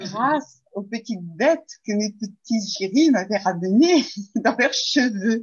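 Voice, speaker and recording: A woman with a fairly high voice speaks at a very slow pace. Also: lively intonation. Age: 60s. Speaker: reflexologist and aromatherapy student. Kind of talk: testimony interview.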